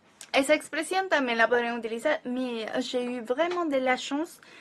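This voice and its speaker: Her voice high in pitch with ordinary variation, a woman speaks at a fairly slow pace. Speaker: language teacher. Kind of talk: tutorial. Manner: conversational, explanatory.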